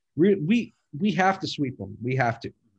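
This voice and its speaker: The intonation moves in a lively way. A somewhat breathy quality marks the voice. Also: man. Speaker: podcast host. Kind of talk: casual sports chat.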